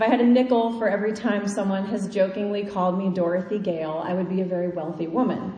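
Over noticeable background noise and audible room echo, a woman with a Midwestern US accent talks very fast at a medium pitch with fairly even intonation. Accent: US Midwest. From Kansas. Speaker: preacher. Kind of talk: sermon.

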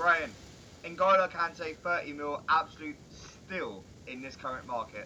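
With noticeable background noise behind him, a man with a fairly high pitch speaks at a very slow pace, with ordinary pitch variation and big swings in loudness. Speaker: football podcast co-host. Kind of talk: casual chat about football.

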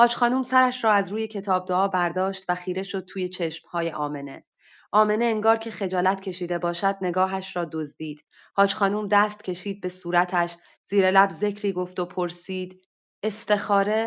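The voice is a woman's, a normal speaking voice at a medium pitch. She talks at a moderate pace with fairly even intonation. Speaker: workshop participant reading her own short story. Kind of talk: reading aloud a story. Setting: online voice chat room.

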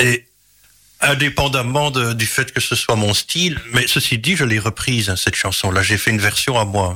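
Against noticeable background noise, a man speaks at medium pitch and a moderate pace with ordinary pitch variation and very even loudness. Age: 40s. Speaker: singer-songwriter. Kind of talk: interview. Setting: radio studio.

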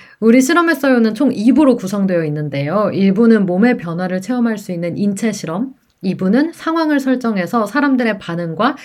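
A woman's medium-pitched voice with very wide pitch swings, at a moderate pace. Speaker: student radio DJ. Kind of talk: casual radio chat. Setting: remote broadcast. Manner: talkative.

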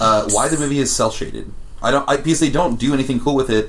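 Very rapid delivery from a man, medium-pitched, with normal rise and fall. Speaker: podcast co-host. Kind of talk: casual banter.

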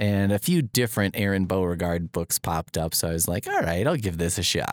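A man with an unremarkable speaking voice talks at a fairly quick pace in a fairly low pitch, with a dry, close sound and no echo. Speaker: podcast host, librarian. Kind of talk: casual chat. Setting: podcast studio. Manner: joking, playful.

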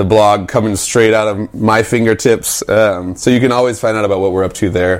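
Over noticeable background noise, a man with a fairly low pitch talks at a fairly quick pace in a flat monotone with hardly any pauses. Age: 30s. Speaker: music producer and label manager. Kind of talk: casual interview. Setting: at the speaker's place.

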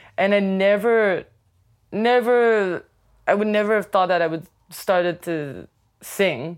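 A woman with a Quebec accent talks at a fairly slow pace, with long, frequent pauses. Her pitch is medium with ordinary variation, on a very clean recording with a silent background. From Quebec City. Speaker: DJ and music producer. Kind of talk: interview. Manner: hesitant, filler-heavy.

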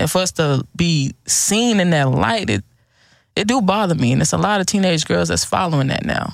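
At a moderate pace, the speech comes through a very clean recording with a silent background. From Houston, Texas. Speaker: clothing entrepreneur. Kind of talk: casual chat.

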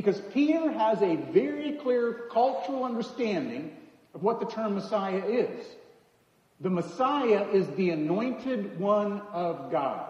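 A man with an American accent speaks at a high pitch and a fairly slow pace. There is noticeable background noise. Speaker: preacher. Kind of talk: sermon. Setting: church.

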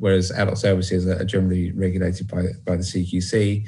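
The voice is somewhat breathy, in a British accent. It moves at a moderate pace. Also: man. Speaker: social work lecturer. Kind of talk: panel discussion. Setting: video call.

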